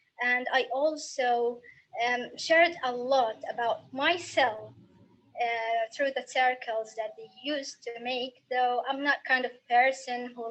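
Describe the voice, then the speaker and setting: A woman speaks in an Arabic accent at a fairly slow pace. Her pitch is high and her intonation fairly even. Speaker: young writer. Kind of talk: recorded personal testimony.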